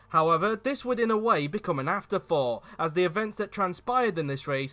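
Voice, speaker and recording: A man's high voice with very wide pitch swings, over music in the background. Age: 20s. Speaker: motorsport commentator. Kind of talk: opinion video narration.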